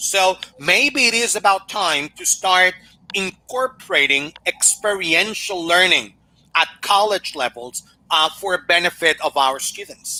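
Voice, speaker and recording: A man with a Spanish accent speaks in a raised, projected voice at a high pitch, with a bright, sharp tone and lively intonation. His pace is fairly slow, and the sound is dry and close with no echo. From Mexico. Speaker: language teaching consultant. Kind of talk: Q&A after a conference talk.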